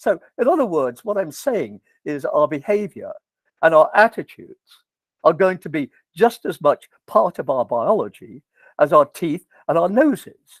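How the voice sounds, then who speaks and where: With an English accent, a man speaks at a moderate pace in a high pitch with very wide pitch swings, the sound dry and close with no echo on a very clean recording with a silent background. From England. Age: 80s+. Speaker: professor. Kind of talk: lecture. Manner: animated.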